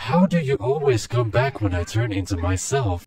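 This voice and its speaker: A man puts on a character voice at a medium pitch. His pace is moderate. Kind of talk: in-game voice chat role play. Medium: role play. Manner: polite, hesitant, stammering.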